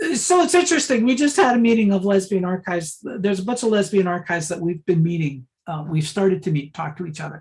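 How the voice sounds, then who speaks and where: A woman's very fast speech with hardly any pauses, medium in pitch, somewhat breathy, with lively intonation. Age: 60s. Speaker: archivist and librarian. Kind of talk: talk with Q&A. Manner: casual, filler-heavy.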